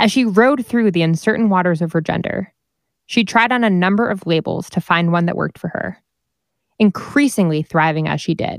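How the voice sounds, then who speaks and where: A woman speaks in an ordinary speaking voice at a medium pitch. Her pace is fairly quick, with lively intonation. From New Jersey. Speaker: podcast host. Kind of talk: scripted intro and outro.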